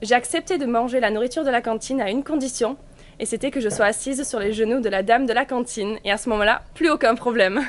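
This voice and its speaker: Her voice fairly high in pitch, a woman talks at a fairly quick pace with ordinary pitch variation. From England, raised from age six in Gers, southwest France. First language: English (speaking French). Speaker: vlogger. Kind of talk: casual vlog narration.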